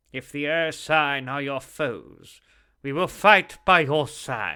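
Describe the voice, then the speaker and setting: In a very clean recording with a silent background, a man uses a fairly high put-on character voice, speaking very slowly with ordinary pitch variation. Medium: read story. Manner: resolute, blunt.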